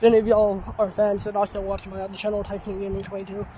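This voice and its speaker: Very fast speech over noticeable background noise. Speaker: vlogger. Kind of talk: casual vlog narration. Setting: outdoors in a forest. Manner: animated.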